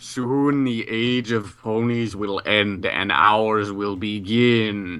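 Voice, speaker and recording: This put-on character voice moves at a very slow pace with hardly any pauses. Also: man, fairly low pitch for a man. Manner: shouting.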